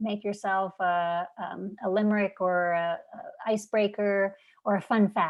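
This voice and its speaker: This woman talks at a fairly slow pace with a medium pitch and fairly even intonation. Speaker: teacher trainer. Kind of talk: webinar presentation. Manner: clear enunciation.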